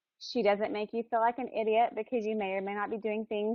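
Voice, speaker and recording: An unremarkable speaking voice from a woman with an American accent, fairly high in pitch and at a fairly quick pace. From US South, Alabama. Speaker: webinar organizer introducing speaker. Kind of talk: introduction.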